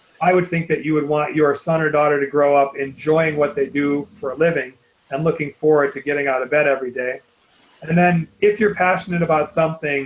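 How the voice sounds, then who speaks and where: Fairly quick speech with fairly even intonation. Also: man. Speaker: college admissions counselor. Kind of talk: webinar presentation. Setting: online webinar. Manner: fast.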